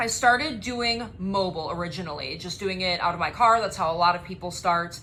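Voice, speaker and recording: Energetic and bright, with a sharp tone, a woman speaks at a fairly quick pace and medium pitch with ordinary pitch variation, and audible room echo surrounds her. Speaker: spray tan business owner and trainer. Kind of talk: course introduction video.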